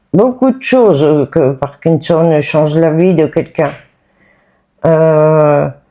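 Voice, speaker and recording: With music in the background, a woman speaks at a fairly low pitch and shows ordinary pitch variation. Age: 60s. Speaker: person living with Parkinson's. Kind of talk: testimony. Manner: halting.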